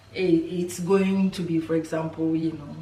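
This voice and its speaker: A woman speaks at a moderate pace in a very deep, low pitch with monotone, flat intonation. Audible room echo and noticeable background noise fill the recording. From Ghana. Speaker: lifestyle vlogger. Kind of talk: casual vlog talk to camera. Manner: hesitant, many fillers.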